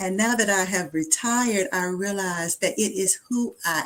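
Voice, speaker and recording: Here is a plain, everyday voice with ordinary pitch variation. It proceeds at a fairly slow pace. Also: woman. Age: 60s. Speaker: retired life coach. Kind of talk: interview.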